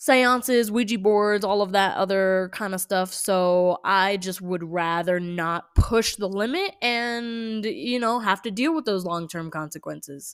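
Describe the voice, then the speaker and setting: With a normal speaking voice and an American accent, a woman of medium pitch speaks with lively intonation on a very clean recording with a silent background. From California. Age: 20s. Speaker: nail artist and horror storyteller. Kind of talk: casual storytelling vlog. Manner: casual, many fillers and restarts.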